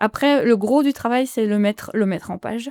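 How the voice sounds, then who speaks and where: A woman speaks with a slight Franche-Comté accent and ordinary pitch variation. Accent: slight Franc-Comtois. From France, Franche-Comté (Haut-Doubs). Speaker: illustrator and author. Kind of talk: podcast interview. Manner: hesitant, many fillers and repetitions.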